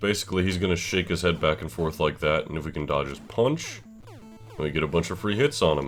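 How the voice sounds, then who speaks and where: Music plays in the background as a man speaks at a fairly quick pace. His voice is very deep and low, with lively intonation. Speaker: gaming commentator. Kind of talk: let's play commentary. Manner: casual.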